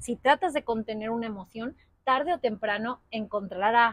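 Over a quiet background, a woman's fairly high voice comes through dry, with no echo. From Spain. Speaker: yoga teacher. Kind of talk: casual chat. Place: garden. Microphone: lapel.

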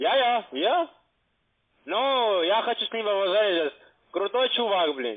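Against a quiet background, a man with a high pitch talks at a very slow pace, his pitch swinging very widely between long, frequent pauses. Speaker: telemarketer. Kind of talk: heated debate. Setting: phone call. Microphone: phone line.

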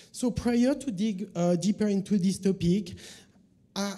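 A man speaks with a French accent at a moderate pace. His tone is dark and mellow, with ordinary pitch variation. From France. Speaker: journalist and media consultant; conference presenter. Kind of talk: conference talk. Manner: hesitant, many fillers. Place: hall.

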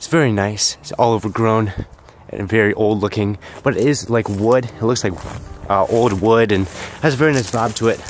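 With music in the background, a man speaks at a moderate pace with ordinary pitch variation in a dry recording with no echo. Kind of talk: casual vlog commentary. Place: open country.

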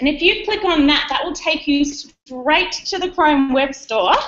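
A woman with an Australian accent speaks at a fairly slow pace with lively intonation, light background noise behind her. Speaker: educational technology presenter. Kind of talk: conference workshop presentation. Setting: conference room with live audience, streamed online. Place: classroom.

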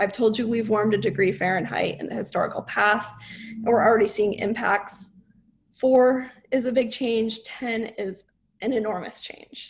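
At a moderate pace, a woman with a fairly high pitch speaks somewhat breathily, her intonation fairly even. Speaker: climate scientist; presenter. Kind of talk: lecture-style presentation. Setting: online webinar. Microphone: video call.

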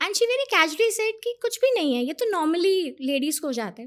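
Against a quiet background, the speech goes at a fairly slow pace with very wide pitch swings. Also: woman. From India. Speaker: cancer survivor. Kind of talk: testimony. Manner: animated. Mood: earnest, emotional, upbeat at end. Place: studio. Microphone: studio mic.

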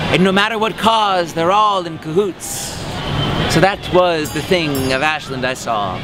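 With music in the background, a man talks at a fairly slow pace in a dry sound with no echo. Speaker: costumed parade-goer answering a street interview. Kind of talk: rhyming street interview answer. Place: street.

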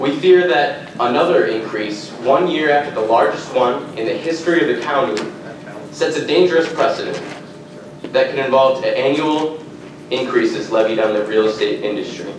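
A man speaks with ordinary pitch variation. Room echo is audible, along with noticeable background noise. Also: moderate pace. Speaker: industry association representative at public comment. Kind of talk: public testimony read from prepared statement. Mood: formal, measured. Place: hall. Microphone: podium.

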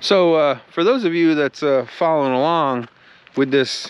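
A man talks fairly slowly with ordinary pitch variation, and the sound is dry with no echo. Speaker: DIY motorcycle vlogger. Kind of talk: casual vlog chat. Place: open country. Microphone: phone near.

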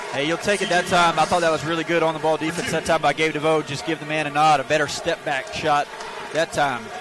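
Speaking at a fairly quick pace and a fairly high pitch, a man is heard in a dry sound with no echo against noticeable background noise. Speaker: color commentator. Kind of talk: live sports commentary. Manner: conversational, explanatory analyst. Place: stadium. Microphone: headset.

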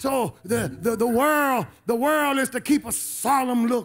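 An extremely high-pitched man in an animated tone, with ordinary pitch variation. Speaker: preacher. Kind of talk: sermon. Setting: church. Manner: animated, repetitive, emphatic pulpit delivery with call-and-response; exhorting, rousing, urging the congregation to respond. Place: church. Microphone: handheld.

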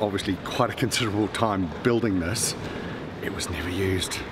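Rather brisk male speech against clearly audible background noise. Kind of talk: casual explanation to the vlogger. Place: tunnel cave. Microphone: camera far.

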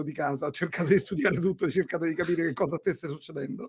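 The voice moves with ordinary pitch variation over a quiet background. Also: man. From Rome, Italy; Italy. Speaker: entrepreneur; podcast guest. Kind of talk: interview. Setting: video call. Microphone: earbuds.

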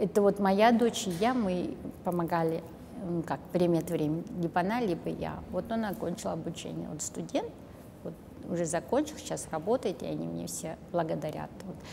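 Noticeable background noise surrounds a woman speaking at a moderate pace. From Kazakhstan. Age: 60s. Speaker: volunteer and math teacher; math teacher. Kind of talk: interview monologue. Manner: halting. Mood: warm, reflective. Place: studio.

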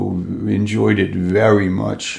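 Low-pitched with vocal fry, a man speaks in a slightly mellow tone with little pitch movement.

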